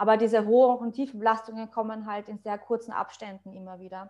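At a moderate pace, a woman speaks. Her intonation is monotone and flat. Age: 30s. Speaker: online fitness coach and bodybuilder. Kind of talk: casual interview chat.

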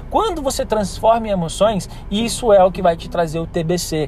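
Noticeable background noise runs under the recording. A man speaks with ordinary pitch variation. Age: 30s. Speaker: business consultant. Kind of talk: solo podcast monologue.

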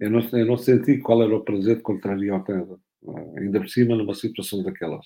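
A man talks at a fairly quick pace in a medium pitch. His tone is dark and mellow, with ordinary pitch variation. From Algarve, Portugal. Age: 60s. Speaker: football coach. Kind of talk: interview.

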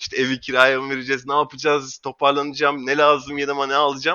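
Talking at a very fast pace, a man keeps a fairly high pitch and fairly even intonation. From Istanbul, Turkey. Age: 30s. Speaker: marketing professional. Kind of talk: casual interview.

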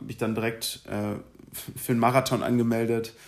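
His intonation stays monotone and flat. The man talks at a moderate pace and medium pitch. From Germany, Berlin. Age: 20s. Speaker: law graduate podcaster. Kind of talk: casual solo monologue. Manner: hesitant, many filler sounds.

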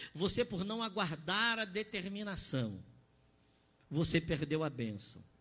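Raising and projecting his voice, a man speaks at a fairly slow pace in a high pitch with a bright, sharp tone and lively intonation. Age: 30s. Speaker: pastor. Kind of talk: sermon. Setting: online church service broadcast. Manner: impassioned.

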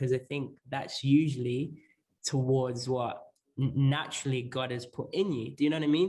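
A somewhat breathy man's voice, fairly high in pitch, at a moderate pace. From northern England (Lancashire), born in Zambia. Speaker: pastor. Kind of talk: casual interview.

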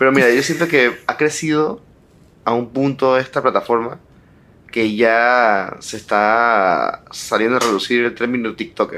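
A man speaks at a fairly slow pace with ordinary pitch variation and a medium pitch. He has a plain, everyday voice. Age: 20s. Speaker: podcast co-host. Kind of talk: casual chat.

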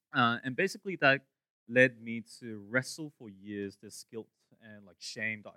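Big swings in loudness mark this bright, sharp voice at a moderate pace, with a dry, close sound and no echo. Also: man, medium pitch for a man, ordinary pitch variation. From Hong Kong. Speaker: ministry apprentice, guest preacher. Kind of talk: sermon.

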